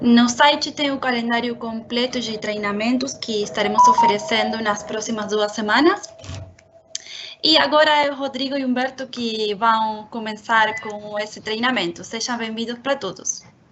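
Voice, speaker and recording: Music plays in the background. Over it, a woman speaks with a fairly high pitch. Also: ordinary pitch variation, moderate pace. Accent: Spanish. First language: Spanish (speaking Portuguese). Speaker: marketing and communications manager. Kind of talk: webinar introduction. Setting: online webinar.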